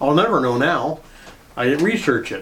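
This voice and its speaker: A man at a fairly quick pace, lively in intonation, with noticeable background noise. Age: 70s. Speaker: retired tow truck driver and storyteller. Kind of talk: casual storytelling monologue. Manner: halting, with many fillers.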